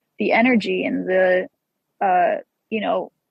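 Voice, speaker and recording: Fairly slow speech from a woman with an American accent. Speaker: rock musician. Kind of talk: interview. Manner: casual, halting with fillers.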